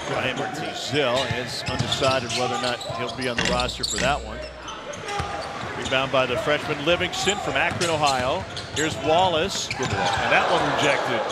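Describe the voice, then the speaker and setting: Speech comes at a moderate pace over loud background noise. The sound is dry with no echo. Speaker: play-by-play announcer. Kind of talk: commentary. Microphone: headset.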